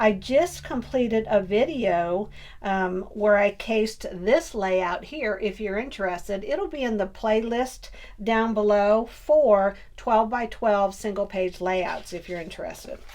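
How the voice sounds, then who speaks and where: A woman with a plain, everyday voice speaks at a fairly slow pace. Her pitch is fairly high, with ordinary variation. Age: 60s. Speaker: scrapbooking YouTuber. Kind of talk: crafting tutorial. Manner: chatty, friendly.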